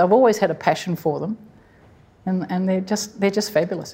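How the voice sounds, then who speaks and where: A woman's dark, mellow voice at medium pitch, very fast, with fairly even intonation and an Australian accent. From Sydney, Australia. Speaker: koala conservationist, wildlife hospital director. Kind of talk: live conversation before audience. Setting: stage with audience, museum hall.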